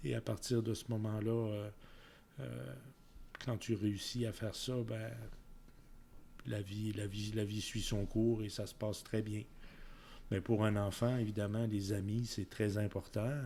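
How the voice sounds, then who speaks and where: Somewhat breathy and dark, mellow in tone, the voice moves at a very slow pace with long, frequent pauses. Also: man, fairly low pitch for a man, fairly even intonation. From Quebec (Quebec City area), then France (Orléans region) ages 7-17. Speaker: community volunteer, senior interviewee. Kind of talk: interview. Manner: halting, many fillers.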